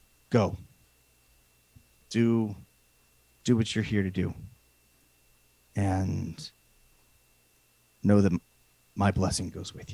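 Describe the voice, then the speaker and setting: A booming, put-on character voice from a man, fairly low in pitch, at a fairly slow pace with long, frequent pauses. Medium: actual play. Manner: solemn, formal.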